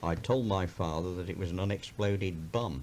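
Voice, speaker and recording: The speaker talks at a fairly quick pace with an English Midlands accent. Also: man. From Birmingham, England. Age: 70s. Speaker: county councillor. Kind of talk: personal memoir recording.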